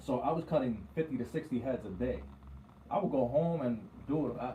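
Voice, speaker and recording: A man with an American accent speaks at a fairly quick pace in a medium-pitched voice with ordinary pitch variation. His tone is dark and mellow and somewhat breathy. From New York. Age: 30s. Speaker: barber and radio co-host. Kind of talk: casual chat.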